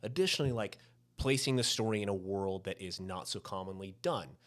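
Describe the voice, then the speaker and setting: With lively intonation, a man speaks in a Southern US accent. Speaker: podcast host. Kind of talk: casual chat.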